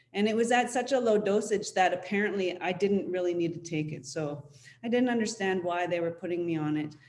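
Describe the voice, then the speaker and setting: A woman talks at a fairly quick pace in a medium pitch, with ordinary pitch variation and audible room echo. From Syilx territory, interior British Columbia, Canada. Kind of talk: panel presentation, personal testimony. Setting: online webinar panel. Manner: halting, frequent fillers.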